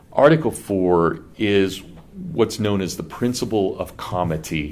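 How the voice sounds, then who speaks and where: Lively in intonation, a man with an American accent talks in a very deep, low pitch amid audible room echo. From Kansas. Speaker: professor. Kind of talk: lecture. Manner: conversational, with false starts.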